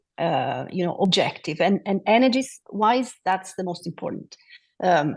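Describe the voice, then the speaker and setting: Against a quiet background, a woman with a non-native accent speaks at a fairly slow pace and a medium pitch. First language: not English. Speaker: city official on a climate panel. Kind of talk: panel discussion. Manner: halting, many fillers.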